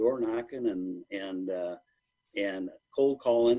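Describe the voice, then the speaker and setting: A man talks at a medium pitch. He has an American accent. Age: 60s. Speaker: manufacturing company executive. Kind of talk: podcast interview. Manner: halting, repeats words.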